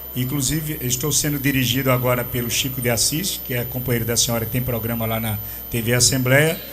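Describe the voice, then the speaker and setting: A man at medium pitch and a fairly quick pace, fairly even in intonation, with audible room echo and noticeable background noise. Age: 60s. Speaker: radio host. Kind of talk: interview. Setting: radio studio.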